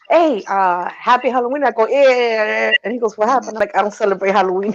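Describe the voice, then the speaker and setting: A woman speaks at a very fast pace with ordinary pitch variation. Noticeable background noise is present. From Honduras. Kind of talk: casual chat.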